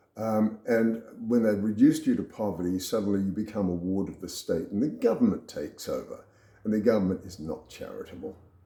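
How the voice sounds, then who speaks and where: An Australian-accented man talks at a fairly quick pace, his loudness swinging widely. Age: 70s. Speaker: retired businessman sharing health story. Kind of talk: personal talk to camera. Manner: casual, with fillers.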